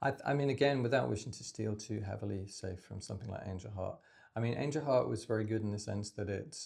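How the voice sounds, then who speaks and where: A somewhat breathy man with a British accent. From UK. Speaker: writer and editor. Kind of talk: casual creative brainstorming chat. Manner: halting, with self-corrections.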